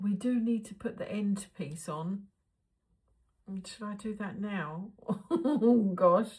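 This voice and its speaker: With big swings in loudness and long, frequent pauses, a woman speaks very slowly at a medium pitch, somewhat breathy. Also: ordinary pitch variation. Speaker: crafting channel host. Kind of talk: crafting tutorial vlog. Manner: chatty, thinking aloud.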